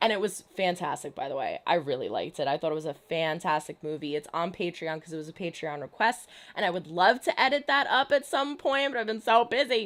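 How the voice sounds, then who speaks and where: In a very clean recording with a silent background, a speaker with an American accent races along at a very fast pace with hardly any pauses, using an animated tone and very wide pitch swings. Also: woman, medium pitch for a woman. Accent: New Jersey, stronger when talking fast. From New Jersey. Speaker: YouTube reaction streamer. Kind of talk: livestream chat, reading viewer comments.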